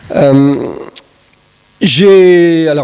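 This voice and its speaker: The speaker is a man with a fairly high pitch. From Brittany, southern Morbihan (France). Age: 60s. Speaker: senator, guest speaker. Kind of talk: conference talk. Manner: hesitant, many fillers and repetitions.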